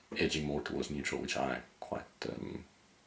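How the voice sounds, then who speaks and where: The man's voice is very deep and low. It carries vocal fry. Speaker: photographer and editing educator. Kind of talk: software tutorial. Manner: fast; casual, hesitant with fillers.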